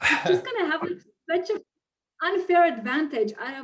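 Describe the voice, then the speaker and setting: With a non-native accent, a woman speaks at a moderate pace and uses lively intonation. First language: not English. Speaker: online marketer and funnel builder; interview guest. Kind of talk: interview. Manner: animated.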